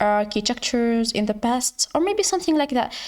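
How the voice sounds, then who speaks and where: Here a woman speaks with a high pitch. She has a non-native accent. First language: not English. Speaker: educational YouTuber. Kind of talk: tutorial. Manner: halting.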